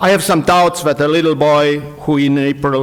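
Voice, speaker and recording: With fairly even intonation and a fairly slow pace, a man talks amid noticeable background noise. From Estonia, Pärnumaa. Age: 60s. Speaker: historian. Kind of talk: conference speech. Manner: formal.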